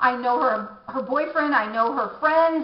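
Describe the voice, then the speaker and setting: A woman speaks at a moderate pace with lively intonation, and audible room echo surrounds her voice. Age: 50s. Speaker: beauty vlogger. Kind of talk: casual vlog monologue. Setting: home bathroom. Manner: halting, many restarts.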